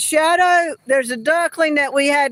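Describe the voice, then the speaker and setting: The woman's pitch rises and falls in an ordinary way. She talks at a moderate pace. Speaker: farmer and livestreamer. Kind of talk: live stream Q&A. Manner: casual, halting.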